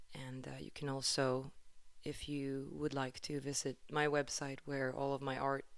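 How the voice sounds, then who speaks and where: A woman with a Swedish accent speaks at a fairly slow pace. Her pitch is very deep and low. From Sweden, Stockholm. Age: 30s. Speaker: podcast host and musician. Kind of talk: solo podcast monologue.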